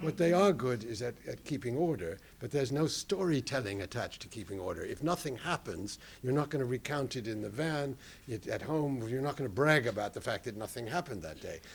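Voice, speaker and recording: A man with an American accent talks at medium pitch, somewhat breathy. His pace is fairly quick and his intonation lively. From United States. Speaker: documentary filmmaker. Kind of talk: panel talk. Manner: halting.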